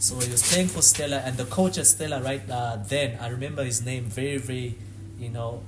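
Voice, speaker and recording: Talking at a very fast pace, a man uses a medium pitch and ordinary pitch variation, with audible room echo. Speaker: former professional footballer. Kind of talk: podcast interview.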